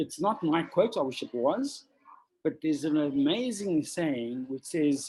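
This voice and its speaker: Lively in intonation and fairly high-pitched, a man speaks at a fairly slow pace in an ordinary speaking voice. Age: 60s. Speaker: extreme adventurer and conservationist. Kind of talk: interview.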